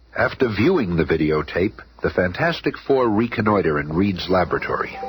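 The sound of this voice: Putting on a character voice at a fairly quick pace, a man speaks low with big pitch swings and a husky, rough edge.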